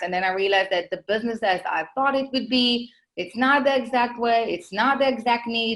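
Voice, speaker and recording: Recorded very cleanly against a silent background, a woman speaks with an Israeli accent. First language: Hebrew. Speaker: marketing consultant, business owner. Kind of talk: podcast interview.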